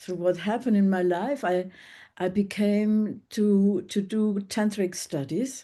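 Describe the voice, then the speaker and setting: A woman's medium-pitched voice with a dark, mellow tone and ordinary pitch variation, at a fairly slow pace against a quiet background. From Germany, Bavaria (Munich). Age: 70s. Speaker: former nurse and workshop facilitator. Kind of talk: interview conversation. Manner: halting.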